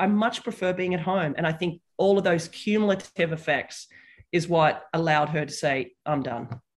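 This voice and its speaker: Quick-paced and lively in intonation, a woman speaks at a medium pitch with an Australian accent. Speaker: tennis commentator and former player. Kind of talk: casual interview.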